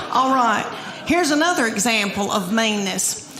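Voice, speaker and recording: With a Southern US accent, a woman talks at a fairly high pitch over noticeable background noise. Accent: Southern American. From Southern United States. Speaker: stand-up comedian. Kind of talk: live stand-up comedy set.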